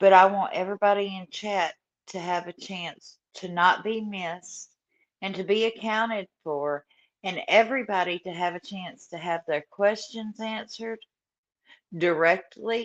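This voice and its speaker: A woman's medium-pitched voice in a Southern US accent, with big swings in loudness and ordinary pitch variation, dry and close with no echo. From US South. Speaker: true crime YouTuber. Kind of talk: livestream chat. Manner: slow; laid-back.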